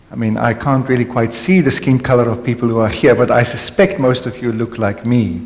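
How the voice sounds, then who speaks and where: A man with a South African accent at a fairly quick pace, with noticeable background noise and audible room echo. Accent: Afrikaans South African English. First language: Afrikaans. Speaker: panel speaker on contemplative spirituality. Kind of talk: panel conversation with audience. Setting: hall with live audience. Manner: reflective, some hesitations.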